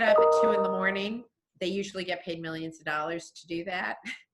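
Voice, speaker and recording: Background music plays behind a woman's speech. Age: 60s. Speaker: TV shopping host. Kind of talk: casual chat.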